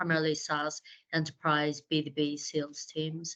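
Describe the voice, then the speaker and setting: With an Irish accent, a woman speaks in a very deep, low pitch. Her intonation is monotone and flat. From Ireland. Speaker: fractional sales leader. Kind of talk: webinar discussion.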